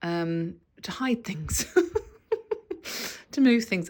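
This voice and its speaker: A woman in an English accent at a fairly slow pace, in a very clean recording with a silent background. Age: 50s. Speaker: lifestyle vlogger. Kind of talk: casual vlog talk. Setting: home bathroom.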